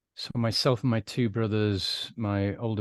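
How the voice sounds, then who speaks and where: A man with a British accent, at a fairly slow pace with fairly even intonation, against a quiet background. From UK. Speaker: recovered alcoholic, former adman. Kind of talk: interview testimony.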